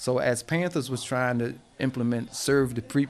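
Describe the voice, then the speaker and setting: Noticeable background noise sits behind a fairly slow delivery with fairly even intonation. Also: man. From New Jersey, US (Plainfield). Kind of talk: interview. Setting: at his home.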